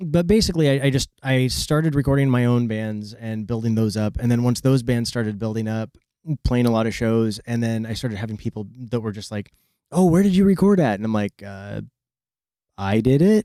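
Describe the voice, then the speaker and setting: In a very clean recording with a silent background, a man with an American accent talks at a fairly quick pace in a dark, mellow tone. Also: medium pitch for a man, lively intonation. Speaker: record producer and sound engineer. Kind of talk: casual interview. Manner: halting, with stammers and restarts.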